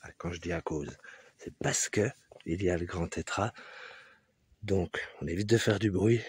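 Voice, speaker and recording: A man speaks softly and somewhat breathily at a fairly slow pace, with ordinary pitch variation and a dry, close sound with no echo. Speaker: hiking vlogger. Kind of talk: vlog narration while hiking. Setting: outdoors on a mountain hike. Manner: casual; soft-spoken.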